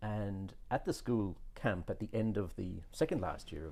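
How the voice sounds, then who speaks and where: A man speaks in a very deep, low pitch with a dark, mellow tone. His voice is somewhat breathy. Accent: Irish. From southern Ireland (Cork), moved to Australia at 14. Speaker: businessman, podcast guest. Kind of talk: interview conversation. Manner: halting, with many repeated words.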